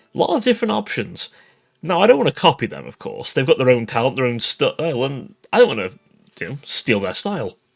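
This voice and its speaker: A man speaks with music playing in the background. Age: young. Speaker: VTuber streamer. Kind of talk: casual vlog monologue.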